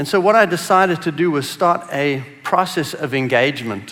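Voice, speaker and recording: A man with a South African accent, fairly high in pitch, with lively intonation and a moderate pace, amid audible room echo and noticeable background noise. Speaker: business executive. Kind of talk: conference talk.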